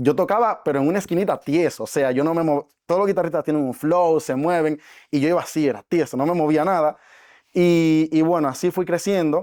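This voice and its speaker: On a very clean recording with a silent background, a man speaks fairly quickly at a fairly high pitch with ordinary pitch variation. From Dominican Republic. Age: 20s. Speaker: network marketing entrepreneur. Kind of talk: podcast interview.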